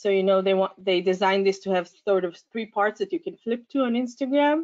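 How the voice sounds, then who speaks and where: A woman talks at a fairly quick pace in an unremarkable speaking voice. Her pitch is medium, with ordinary variation. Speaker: science education researcher. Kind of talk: conference talk. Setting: conference.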